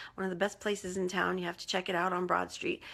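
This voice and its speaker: A woman's bright, sharp tone at medium pitch, with vocal fry. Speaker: life coach. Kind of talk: live video coaching talk. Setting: Facebook Live video.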